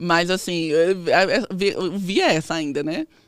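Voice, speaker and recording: The recording is very clean, with a silent background and a dry, close sound free of echo. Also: woman. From Northeast Brazil, Campina Grande, Paraíba. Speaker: physiotherapist and researcher. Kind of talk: interview.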